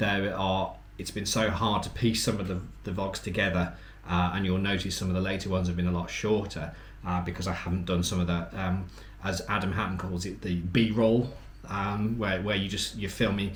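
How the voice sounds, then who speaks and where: A man's fairly low voice at a fairly quick pace, with audible room echo. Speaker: travel vlogger. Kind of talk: casual chat. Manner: quiet; halting.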